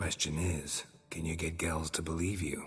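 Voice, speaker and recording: This man talks in a put-on character voice with a very deep, low pitch. His pace is moderate. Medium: video game. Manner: terse, dry, clipped sentences.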